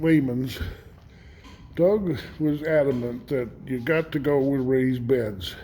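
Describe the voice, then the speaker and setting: Fairly high in pitch with a dark, mellow tone, a man speaks at a very slow pace with ordinary pitch variation. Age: 70s. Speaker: homesteader. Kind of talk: casual vlog monologue. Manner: halting, many fillers.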